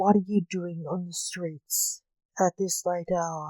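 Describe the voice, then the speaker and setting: In a put-on character voice at middle pitch, the speaker goes at a fairly slow pace with hissing. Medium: read story. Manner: menacing, hissing.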